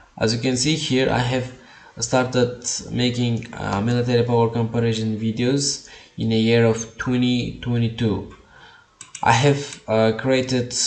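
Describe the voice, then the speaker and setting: Over noticeable background noise, the speech moves at a fairly slow pace. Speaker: YouTube creator. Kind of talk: tutorial. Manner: halting, with many uh fillers.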